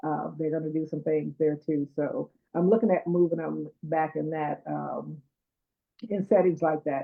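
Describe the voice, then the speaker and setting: A woman's unremarkable speaking voice, fairly low in pitch, with ordinary pitch variation and a fairly slow pace. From US Midwest, Detroit. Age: 60s. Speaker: chef and cookbook author. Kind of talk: interview. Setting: live stream.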